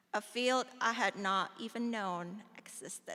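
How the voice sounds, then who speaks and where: A woman with an Indonesian accent speaks at a fairly high pitch in a bright, sharp tone. Her intonation stays fairly even, and the recording is very clean with a silent background. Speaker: alumna speaker, pharmaceutical scientist. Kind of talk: ceremonial speech. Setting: auditorium ceremony with audience.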